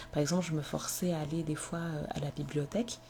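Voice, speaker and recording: This woman talks at a moderate pace in a very deep, low voice. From Comorian heritage, French-speaking. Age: 20s. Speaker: podcaster. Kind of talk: personal testimony. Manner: hesitant, many fillers.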